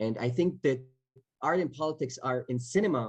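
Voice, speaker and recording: Somewhat breathy, a man with an Israeli accent talks at a moderate pace with lively intonation. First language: Hebrew. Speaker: actor. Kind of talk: panel Q&A. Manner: halting, many repetitions.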